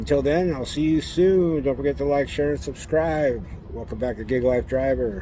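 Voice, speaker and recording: Noticeable background noise fills the recording. Over it, a man talks at a fairly quick pace. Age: 60s. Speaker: gig delivery driver vlogger. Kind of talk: casual vlog monologue.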